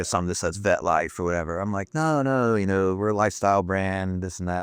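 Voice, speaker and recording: Over a quiet background, a man talks at a very fast pace in a very deep, low voice. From US Southeast, Florida and North Carolina. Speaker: apparel business owner, former Marine. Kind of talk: podcast interview. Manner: casual, halting with fillers.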